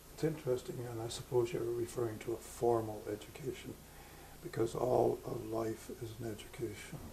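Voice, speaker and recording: There is noticeable background noise as a man speaks with a Canadian accent at a medium pitch. His pace is moderate and his intonation fairly even. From Ontario, Canada. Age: 70s. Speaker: retired pastor. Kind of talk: interview. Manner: halting, many fillers.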